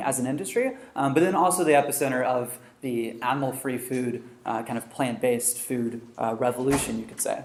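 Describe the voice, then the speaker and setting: Audible room echo around a man speaking at a fairly quick pace. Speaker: researcher and author giving a talk. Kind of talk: lecture. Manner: fast.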